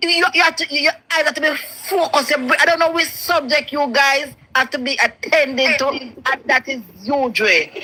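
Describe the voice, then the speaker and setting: Against noticeable background noise, a woman with a Jamaican accent uses a raised, projected voice. Her pitch is high, with ordinary variation, and her pace is moderate. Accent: Jamaican Patois. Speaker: caller on live show. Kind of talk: casual chat. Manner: halting, repetitive.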